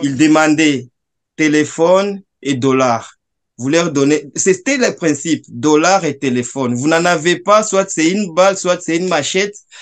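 Pitch for this man is fairly high, with ordinary variation. He talks at a fairly slow pace over a quiet background. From eastern Democratic Republic of the Congo (South Kivu); eastern Democratic Republic of the Congo. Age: 30s. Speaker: Congolese refugee and commentator. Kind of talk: video call discussion. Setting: video call. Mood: earnest, recounting war memories. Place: home room. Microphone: video call.

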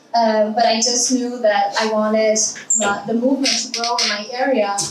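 A woman speaks in a monotone, flat intonation amid noticeable background noise and audible room echo. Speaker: conference speaker. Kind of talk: presentation talk. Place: hall.

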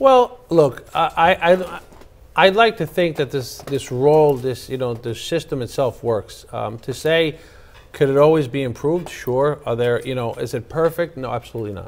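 This man speaks with a New York accent at a fairly high pitch. His intonation is lively. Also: moderate pace. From Queens, New York. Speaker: attorney and former city councilman; attorney, former city councilman. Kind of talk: political interview. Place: studio. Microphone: lapel.

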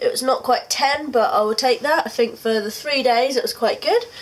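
This voice has a British accent. The pace is moderate. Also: woman. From UK. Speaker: vlogger. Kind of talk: video diary. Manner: casual, hesitant with frequent ums. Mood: relaxed, mildly upbeat. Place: home room. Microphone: phone near.

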